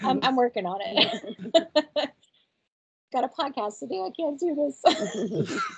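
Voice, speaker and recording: A woman with a high voice talks at a fairly slow pace, leaving long, frequent pauses. Her pitch swings very widely and her loudness rises and falls sharply. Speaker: podcast host. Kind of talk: casual chat. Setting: podcast recording.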